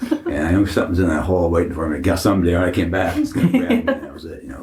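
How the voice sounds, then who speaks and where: The intonation stays fairly even. Background noise is noticeable throughout. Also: man. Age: 70s. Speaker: haunted attraction owner. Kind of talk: interview.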